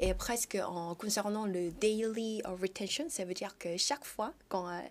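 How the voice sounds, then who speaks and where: Speaking with a Korean accent, a woman uses a medium pitch and ordinary pitch variation at a fairly slow pace. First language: Korean (speaking French). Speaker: startup founder. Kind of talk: TV interview. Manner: halting, many hesitations.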